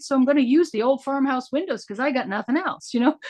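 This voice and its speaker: A woman's high-pitched voice at a very fast pace. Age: 60s. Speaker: independent theatre artist. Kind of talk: open discussion in a virtual workshop. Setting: video call. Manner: animated, rambling.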